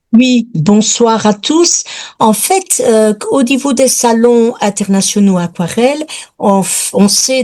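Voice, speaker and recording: Her tone is dark and mellow, and her intonation lively. The woman speaks at a very slow pace. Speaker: watercolour painter, student. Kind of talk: question in webinar.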